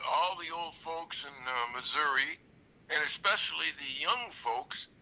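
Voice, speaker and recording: With an American accent, a man talks fairly slowly in a high voice, and there is noticeable background noise. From Michigan. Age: 80s+. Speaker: former prisoner. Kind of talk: interview. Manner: halting, many fillers.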